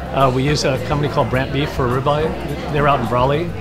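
Background music behind a man talking. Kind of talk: interview answer. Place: cafe. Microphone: lapel.

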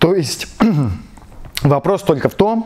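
A man's dark, mellow tone with very wide pitch swings. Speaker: auto mechanic and video blogger. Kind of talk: tutorial. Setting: workshop garage. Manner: casual, slangy. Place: garage. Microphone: lapel.

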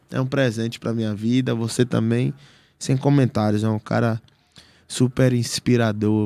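With a dark, mellow tone and a dry sound with no echo, a man talks at a moderate pace and fairly even intonation. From Brazil, Salvador, Bahia. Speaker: podcast guest or host. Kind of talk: casual chat. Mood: warm, grateful. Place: studio. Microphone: studio mic.

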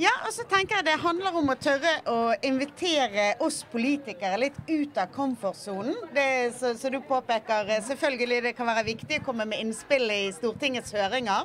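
A woman with a high voice talks at a moderate pace with lively intonation and hardly any pauses, over light background noise. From Bergen, western Norway. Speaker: politician. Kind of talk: panel discussion. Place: boat. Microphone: handheld.

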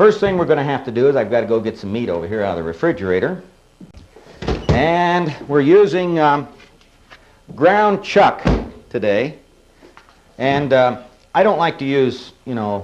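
A man talks at a moderate pace, his pitch swinging very widely, with long, frequent pauses. Noticeable background noise runs underneath. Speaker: cooking show host. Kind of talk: tutorial. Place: studio.

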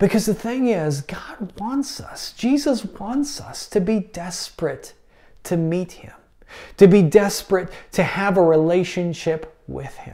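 A man talks at a high pitch. His tone is dark and mellow. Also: lively intonation, fairly slow pace.

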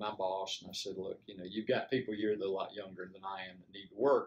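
The speaker is male. His voice sits fairly low. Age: 70s. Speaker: retired engineer; army veteran. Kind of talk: interview answer. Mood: calm, reflective. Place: home room.

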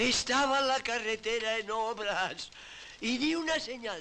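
Very slowly, a man speaks in a raised, projected voice with a bright, sharp tone and lively intonation over light background noise. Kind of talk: acted dialogue, telling a story. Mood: indignant, aggrieved storytelling. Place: home room.

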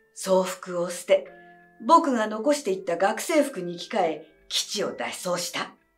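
Over faint music in the background, a woman talks at a fairly slow pace with very wide pitch swings. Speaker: actress. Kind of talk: audiobook reading of a mystery story. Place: home room.

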